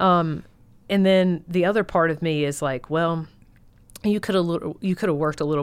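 A woman with a Southern US accent and a very deep, low pitch talks at a fairly quick pace with ordinary pitch variation, on a very clean recording with a silent background. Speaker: guest, military spouse. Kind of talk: casual chat. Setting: studio.

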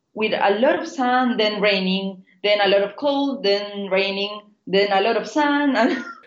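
A woman's fairly high voice with a Spanish accent, lively intonation and a fairly slow pace. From Chile. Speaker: biotech startup founder. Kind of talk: interview. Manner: halting.

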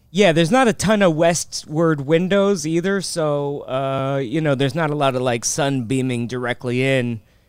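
Against noticeable background noise, the speech moves at a moderate pace with hardly any pauses and ordinary pitch variation. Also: man, fairly high pitch for a man. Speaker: comedian. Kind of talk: casual chat. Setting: video call. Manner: joking.

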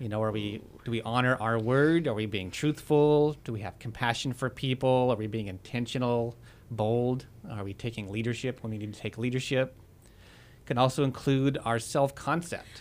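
The man has an unremarkable speaking voice at medium pitch, with ordinary pitch variation and a moderate pace. The recording is very clean, with a silent background. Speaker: radio co-host. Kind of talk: radio talk show. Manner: casual, filler-heavy.

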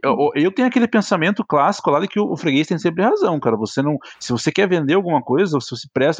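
Against a quiet background, a man's voice shows very wide pitch swings in a dry, close sound with no echo. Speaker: podcast co-host. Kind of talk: casual chat.

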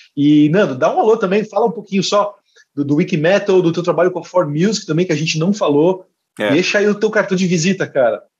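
A high-pitched man's voice at a very fast pace, with ordinary pitch variation. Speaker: music magazine editor and podcast co-host. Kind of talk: casual chat.

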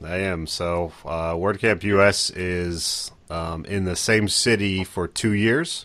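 A man talks at a very slow pace in a very deep, low pitch. He leaves hardly any pauses. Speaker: podcast co-host. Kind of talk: casual chat.

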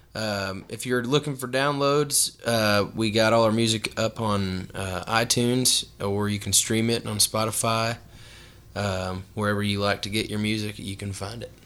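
A normal speaking voice from a man, fairly low in pitch, fairly even in intonation, at a moderate pace. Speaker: country singer. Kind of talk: casual chat. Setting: studio.

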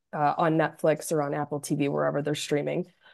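A woman's very deep, low voice with a dark, mellow tone. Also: quiet background. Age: 30s. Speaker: legal operations worker and pop music fan. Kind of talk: casual chat.

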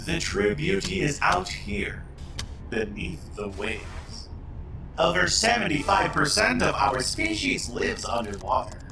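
Using a put-on character voice, a man talks at a moderate pace. Loud background noise and a slight echo are audible. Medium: audio drama. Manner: warm, easygoing.

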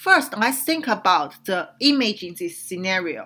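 In a very clean recording with a silent background, a woman with a Chinese accent speaks very slowly in a bright, sharp tone with very wide pitch swings. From China. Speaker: radio show host, whistleblower commentator. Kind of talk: political commentary monologue. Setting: radio studio. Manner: hesitant, many fillers.

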